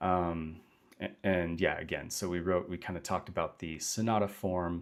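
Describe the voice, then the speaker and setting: Very deep and low, a man's voice moves at a fairly slow pace in a flat monotone, captured in a very clean recording with a silent background. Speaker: composer. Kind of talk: tutorial. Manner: halting.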